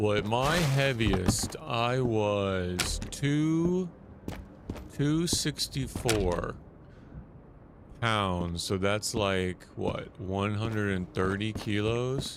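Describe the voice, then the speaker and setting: Audible room echo surrounds a man speaking very slowly. His fairly low voice has lively intonation. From United States. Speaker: gaming streamer. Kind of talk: casual chat. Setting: live stream.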